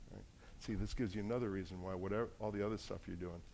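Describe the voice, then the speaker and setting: Heard with audible room echo, a man with an American accent speaks at a very fast pace in a very deep, low, dark and mellow voice with fairly even intonation. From New Jersey. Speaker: pastor. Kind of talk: sermon.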